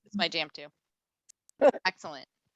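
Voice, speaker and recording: Against a quiet background, a woman speaks with a bright, sharp, animated tone in a dry, close recording with no echo. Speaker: county homelessness council coordinator. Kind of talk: video meeting facilitation. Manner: fast.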